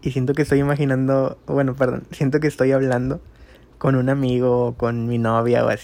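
In a monotone, flat intonation, a man talks at a moderate pace and a medium pitch. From Monterrey, Nuevo León, Mexico. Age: 20s. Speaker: amateur podcaster. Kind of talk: casual monologue.

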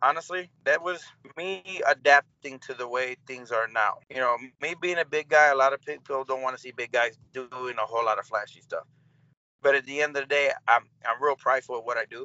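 In a normal speaking voice, a man with an American accent talks at a fairly quick pace, his pitch fairly high with ordinary variation and big swings in loudness. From US Midwest, Cleveland, Ohio. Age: 30s. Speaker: pro wrestler. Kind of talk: casual interview chat.

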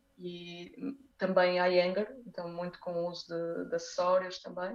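At a fairly slow pace, a woman with medium pitch speaks in a plain, everyday voice. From northern Portugal (Porto, Braga). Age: 30s. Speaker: dancer and dance teacher. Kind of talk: casual interview chat.

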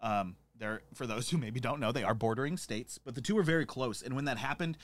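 A man with an American accent, medium pitch and ordinary pitch variation, in a very clean recording with a silent background. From Montana. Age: 30s. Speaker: podcast host, bar owner. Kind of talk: casual chat. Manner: animated.

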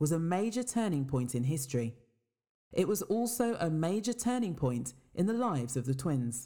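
A woman with a West Midlands accent, dark and mellow in tone, with very wide pitch swings at a moderate pace. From England, Worcester. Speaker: podcast narrator. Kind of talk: scripted narration.

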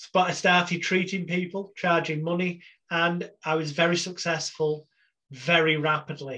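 A man with an English accent speaks at a high pitch in a bright, sharp tone. His pace is fairly slow and his intonation is monotone and flat. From England. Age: 40s. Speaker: hypnotherapist. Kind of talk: interview.

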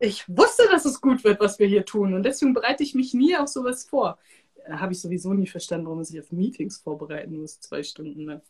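Speaking at a very fast pace, a woman uses medium pitch with very wide pitch swings. Her tone is animated, and her loudness swings a lot. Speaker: podcast host and energy work coach. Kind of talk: casual live-stream interview.

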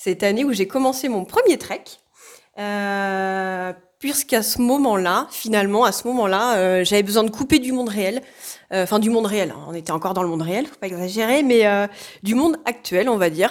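In a very clean recording with a silent background, a woman with an unremarkable speaking voice talks at a moderate pace and medium pitch. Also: ordinary pitch variation. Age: 30s. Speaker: social care worker and hiker. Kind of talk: casual interview.

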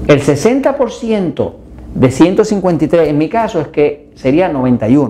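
His dark, mellow tone sits at a high pitch for a man, with very wide pitch swings. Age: 60s. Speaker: health educator. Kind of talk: health video talk.

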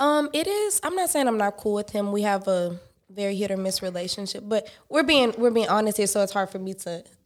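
A normal speaking voice from a woman with an American accent, medium pitch, lively intonation and a fairly quick pace. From Houston, Texas (east side). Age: 20s. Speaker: podcast guest. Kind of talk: casual chat. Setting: studio.

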